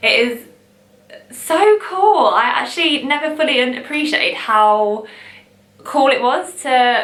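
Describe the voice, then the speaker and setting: Over noticeable background noise, a woman with an East Midlands accent and a high pitch speaks at a very slow pace, with lively intonation and long, frequent pauses. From England, Long Eaton. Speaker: vintage shop owner. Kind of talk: casual talk to camera.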